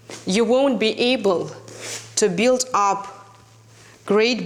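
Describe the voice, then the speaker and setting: Someone with a non-native accent speaks at a very slow pace over noticeable background noise. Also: woman. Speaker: fitness instructor. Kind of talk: direct-to-camera talk, promotional.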